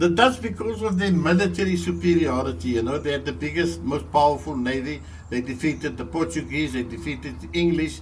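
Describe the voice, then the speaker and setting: Audible room echo follows speech delivered fairly quickly. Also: man. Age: 80s+. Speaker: local historian. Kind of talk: storytelling interview. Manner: repetitive, halting.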